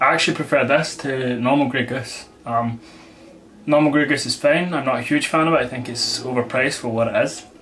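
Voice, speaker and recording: Over noticeable background noise, a man speaks at a medium pitch and fairly quick pace with fairly even intonation. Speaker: vodka reviewer. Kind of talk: product review. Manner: casual, conversational.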